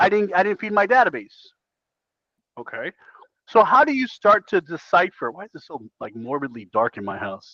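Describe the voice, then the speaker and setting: A man's raised, projected voice, high-pitched with a bright, sharp tone, animated and full of very wide pitch swings and big swings in loudness, broken by long, frequent pauses, dry and close with no echo. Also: moderate pace. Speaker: real estate coach. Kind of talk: coaching session.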